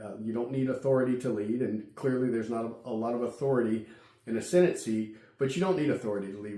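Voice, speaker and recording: Speaking with a Virginia accent, a man talks at a fairly quick pace in a medium pitch with ordinary pitch variation. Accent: Southern American (Virginia). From Virginia, Amelia County. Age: 50s. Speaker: political candidate, entrepreneur. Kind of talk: campaign address to camera. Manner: hesitant, with fillers and repetitions.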